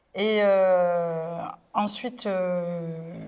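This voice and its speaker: The woman's intonation is monotone and flat. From Marseille, southern France. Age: 20s. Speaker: influencer. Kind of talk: interview testimony. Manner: hesitant, many fillers.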